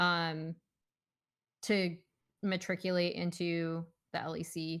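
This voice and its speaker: Very slow, flat and monotone, a voice with a slight northern US accent comes through on a very clean recording with a silent background. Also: woman, fairly low pitch for a woman. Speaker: esports podcast host. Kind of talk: casual chat.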